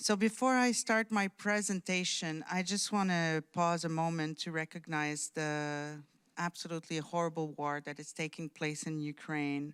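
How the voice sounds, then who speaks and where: A woman with a slight French Canadian accent, ordinary pitch variation, a moderate pace, hardly any pauses, and a dry, close sound with no echo in a very clean recording with a silent background. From Quebec, outskirts of Montreal. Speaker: diplomat. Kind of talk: conference speech. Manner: hesitant, many fillers.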